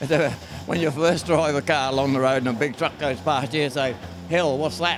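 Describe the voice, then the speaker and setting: With music in the background, a man in an Australian accent talks at a moderate pace and fairly high pitch, with ordinary pitch variation. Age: 90s. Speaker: car restorer. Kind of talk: casual chat. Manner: halting.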